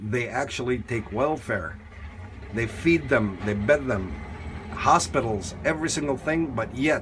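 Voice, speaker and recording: Speaking with a non-native accent, a man uses lively intonation at a fairly slow pace. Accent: foreign accent, non-native English. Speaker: YouTube commentator. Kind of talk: video commentary. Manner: halting, broken English; animated.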